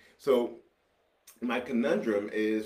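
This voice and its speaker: Over audible room echo, a man speaks with an American accent at a fairly low pitch. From New York City, Brooklyn. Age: 50s. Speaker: podcast host. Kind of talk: casual chat. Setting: home studio.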